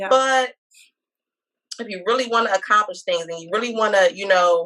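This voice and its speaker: A woman with a bright, sharp tone and medium pitch speaks at a moderate pace, with ordinary pitch variation and big swings in loudness. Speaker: spoken word artist and author. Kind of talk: interview answer.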